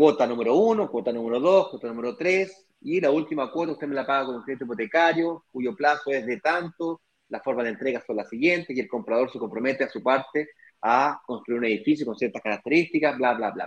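A normal speaking voice from a man, fairly high in pitch, with lively intonation, big swings in loudness, and a quiet background. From Chile. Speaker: real estate investment business partner. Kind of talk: live stream conversation.

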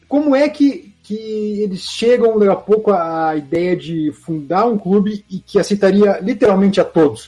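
A man speaks at a moderate pace in a high pitch, his intonation lively. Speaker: football history channel host. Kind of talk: interview.

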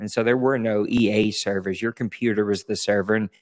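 An ordinary speaking voice: a man with fairly low pitch and fairly even intonation at a fairly quick pace. The sound is dry and close with no echo, a very clean recording, silent background. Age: 40s. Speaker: online gaming league founder. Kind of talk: casual chat.

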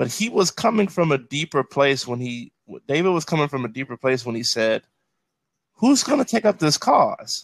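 Very wide pitch swings mark a man's fairly high voice with an American accent. The sound is dry and close with no echo, and the pace is moderate. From Chicago south suburbs, US Midwest. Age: 30s. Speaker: pastor. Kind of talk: casual chat. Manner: repetitive, halting restarts.

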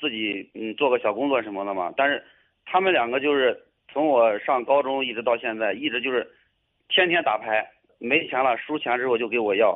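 This man speaks at a fairly quick pace, with a medium pitch and ordinary pitch variation. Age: 20s. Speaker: caller seeking advice. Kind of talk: radio call-in. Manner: halting, hesitant.

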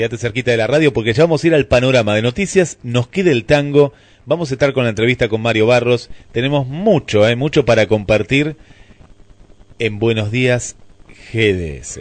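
The speaker uses ordinary pitch variation and talks in an Argentine accent. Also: man, medium pitch for a man, moderate pace. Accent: Rioplatense Argentine Spanish. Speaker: radio host. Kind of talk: morning radio show. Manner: animated.

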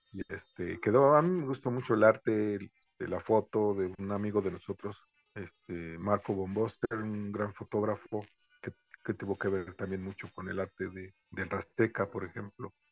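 A man with a Mexican accent speaks at a moderate pace, his fairly low voice keeping a fairly even intonation. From Mexico. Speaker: reggae drummer. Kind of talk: interview. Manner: halting.

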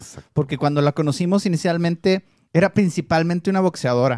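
The sound is dry and close, without any echo. Pitch varies in an ordinary way at a fairly quick pace. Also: man. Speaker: MMA podcast co-host. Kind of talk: casual chat.

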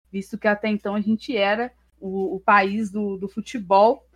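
In a dry, close sound with no echo, a woman with a normal speaking voice talks at a moderate pace and a fairly high pitch. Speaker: history student and streamer. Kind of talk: casual chat.

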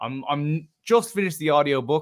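A man with an Irish accent. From Ireland. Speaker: travel writer and adventurer. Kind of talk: casual interview chat.

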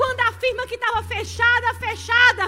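Shouting in a raised, projected voice, a woman speaks at an extremely high pitch and a fairly slow pace, her tone bright, sharp and shrill and her intonation monotone and flat. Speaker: pastor. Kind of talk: sermon. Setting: church women's service, also streamed live. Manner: loud, shouting.

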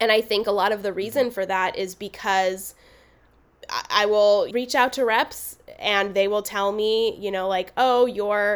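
In a very clean recording with a silent background, a woman with an American accent speaks in a normal speaking voice, with medium pitch, fairly even intonation and a moderate pace. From US West Coast (Los Angeles). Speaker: actor and film producer. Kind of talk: interview conversation.

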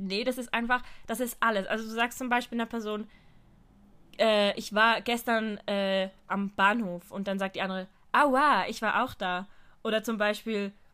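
Bright and sharp in tone, a woman's fairly high voice moves at a moderate pace with fairly even intonation. She leaves long, frequent pauses. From Switzerland. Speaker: podcast co-host. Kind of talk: casual chat.

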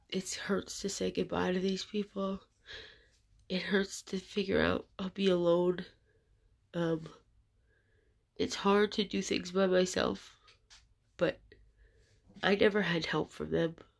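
Against a quiet background, a woman with vocal fry speaks at medium pitch and a fairly slow pace, her intonation monotone and flat, with long, frequent pauses. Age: 30s. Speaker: podcaster sharing personal story. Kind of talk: personal testimony monologue. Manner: halting.

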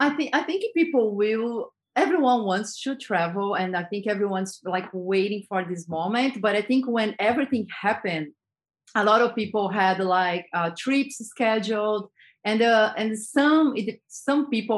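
A woman's fairly high voice in a Brazilian accent, at a moderate pace against a quiet background. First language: Portuguese. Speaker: advertising creative director. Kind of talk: interview conversation. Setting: video call.

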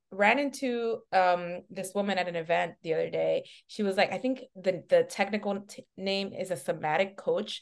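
This woman has an unremarkable speaking voice, a medium pitch, an American accent, a fairly slow pace and ordinary pitch variation. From New York City, Washington Heights, Dominican family. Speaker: talent manager. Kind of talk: casual interview chat. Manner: relaxed, upbeat.

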